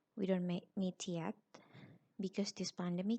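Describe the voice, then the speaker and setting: In an Indonesian accent, a woman speaks with a fairly low pitch and a dark, mellow tone. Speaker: university lecturer. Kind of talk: lecture. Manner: halting.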